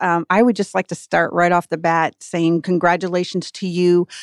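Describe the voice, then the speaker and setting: With an American accent and a normal speaking voice, a woman talks at medium pitch and a moderate pace in a dry, close sound with no echo on a very clean recording, silent background. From Michigan, US. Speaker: chamber of commerce executive, co-host. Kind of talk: radio interview. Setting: studio.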